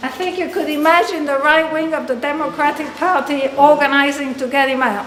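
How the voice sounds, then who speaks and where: A woman with a high pitch and fairly even intonation speaks at a fairly quick pace, with audible room echo and noticeable background noise. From Argentina. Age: 60s. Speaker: activist. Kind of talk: public speech. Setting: forum with audience. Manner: conversational, frequent fillers.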